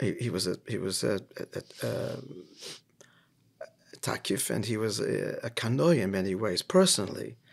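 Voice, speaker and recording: Very wide swings in pitch and a creaky vocal fry from a male speaker. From Australia. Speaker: rabbi. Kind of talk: podcast interview.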